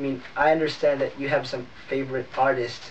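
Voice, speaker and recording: A man's voice over noticeable background noise. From Philippines. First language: not English. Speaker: YouTuber, cover singer. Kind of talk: vlog channel introduction, partly read from notes. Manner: casual, filler-heavy.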